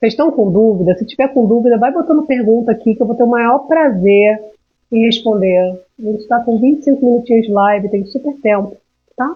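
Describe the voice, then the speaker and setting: A woman's delivery moves at a fairly quick pace, her pitch varying in an ordinary way. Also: fairly high pitch for a woman. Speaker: emotional intelligence mentor. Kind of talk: live stream talk. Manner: animated.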